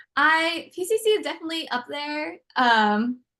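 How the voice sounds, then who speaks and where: A woman's raised, projected voice with an American accent, bright, sharp tone and very wide pitch swings. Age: 20s. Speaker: university student. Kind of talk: casual interview.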